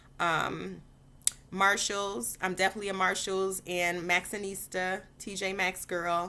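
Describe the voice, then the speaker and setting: A woman with an American accent speaks at a fairly slow pace in a bright, sharp tone with fairly even intonation. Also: medium pitch for a woman. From Detroit, Michigan. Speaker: vlogger and former teacher. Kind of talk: casual Q&A vlog. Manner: chatty, many fillers.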